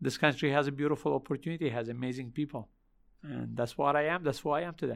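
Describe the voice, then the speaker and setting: Over a silent background in a very clean recording, a man with a fairly high pitch speaks very fast with fairly even intonation. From Lebanon. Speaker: restaurant chain founder and entrepreneur. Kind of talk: interview.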